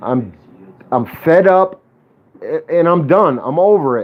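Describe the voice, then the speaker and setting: A man is shouting loudly in a high voice. He speaks at a fairly slow pace with ordinary pitch variation. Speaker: police accountability livestreamer. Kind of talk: livestream rant. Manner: loud, yelling.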